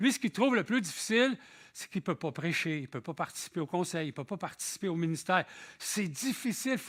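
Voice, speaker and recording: In a very clean recording with a silent background, a man speaks at a fairly quick pace with a high pitch and very wide pitch swings. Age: 60s. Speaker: visiting preacher. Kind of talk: sermon. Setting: church. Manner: conversational.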